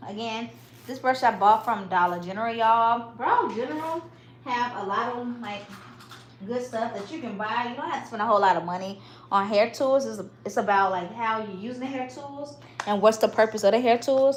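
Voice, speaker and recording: A woman with a Southern US accent at a fairly quick pace, big swings in loudness, noticeable background noise. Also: fairly high pitch for a woman, ordinary pitch variation. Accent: Southern, country. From US South, Mississippi. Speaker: hair stylist and parent livestreamer. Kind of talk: livestream hair tutorial. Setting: livestream at home. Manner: casual, chatty.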